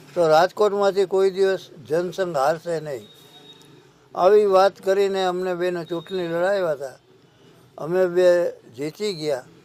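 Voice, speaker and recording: A high-pitched male voice with fairly even intonation over noticeable background noise. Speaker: former mayor and politician. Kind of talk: personal testimony.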